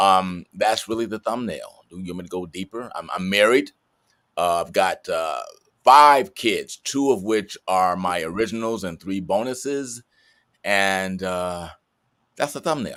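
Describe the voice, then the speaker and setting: A man with an ordinary speaking voice and an American accent talks at a fairly slow pace, his fairly low pitch showing ordinary variation. His loudness swings a lot, in a very clean recording with a silent background. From US Midwest (Chicago, Detroit). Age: 60s. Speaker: actor. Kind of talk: interview.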